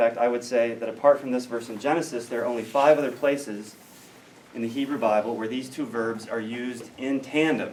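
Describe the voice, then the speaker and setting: In an American accent, the speaker goes at a moderate pace with ordinary pitch variation as room echo is audible. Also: man. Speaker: biblical studies scholar. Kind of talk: lecture. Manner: hesitant fillers.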